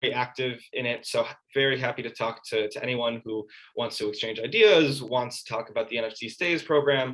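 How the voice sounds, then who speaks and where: The pitch of this man's voice sits at a medium level. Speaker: metaverse presenter. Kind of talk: presentation and Q&A. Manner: fast.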